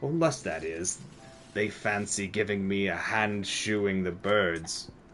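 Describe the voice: The speaker uses a put-on character voice at a fairly slow pace. Clear background noise runs underneath. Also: man, fairly low pitch for a man.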